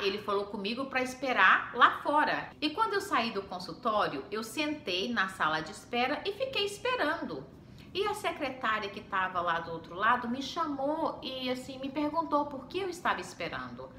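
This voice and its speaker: A woman's raised, projected voice, high-pitched with very wide pitch swings and big swings in loudness, at a moderate pace with hardly any pauses, amid audible room echo. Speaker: homemaker and mom vlogger. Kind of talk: casual vlog storytelling.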